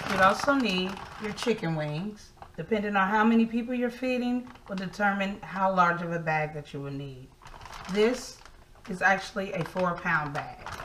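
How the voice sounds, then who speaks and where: Amid noticeable background noise, a woman speaks at a moderate pace. Her loudness swings widely. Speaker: home cook host. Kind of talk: tutorial. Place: kitchen.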